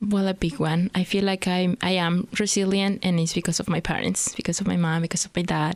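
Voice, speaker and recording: This woman has a fairly low pitch and speaks with a Mexican accent. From Mexico, Hidalgo state. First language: Spanish. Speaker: immigrant entrepreneur. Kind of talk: podcast interview. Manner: fast.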